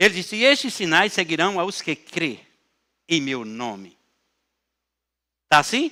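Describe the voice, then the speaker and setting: A man speaks in a raised, projected voice at a fairly slow pace. His tone is bright and sharp, with very wide pitch swings. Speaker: pastor. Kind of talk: sermon.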